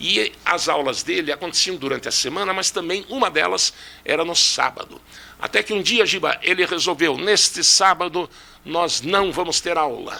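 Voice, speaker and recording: High-pitched male speech at a moderate pace, with ordinary pitch variation and noticeable background noise. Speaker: physics teacher and engineer.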